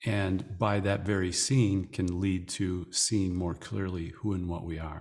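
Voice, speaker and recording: A man speaks at a very slow pace, his very deep, low pitch held in fairly even intonation. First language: English (speaking French). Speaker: spiritual teacher. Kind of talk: interview. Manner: measured, in short phrases.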